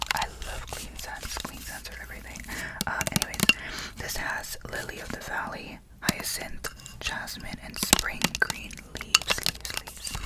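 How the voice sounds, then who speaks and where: A whispering voice moves at a moderate pace with long, frequent pauses. Noticeable background noise is present. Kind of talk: ASMR whisper ramble. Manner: whispered; rambling, casual.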